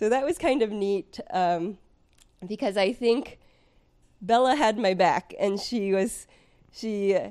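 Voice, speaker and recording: This is a plain, everyday voice with ordinary pitch variation. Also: woman. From US West Coast, San Francisco Bay Area. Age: 30s. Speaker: former professional triathlete. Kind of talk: casual interview chat.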